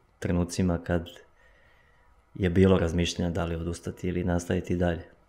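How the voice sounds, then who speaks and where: A man with a very deep, low voice, monotone, flat intonation, and a moderate pace. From eastern Serbia, village near Golubac; Serbia. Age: 20s. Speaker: runner, athlete; podcast guest. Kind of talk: casual interview. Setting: studio. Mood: calm, reflective. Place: studio. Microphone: studio mic.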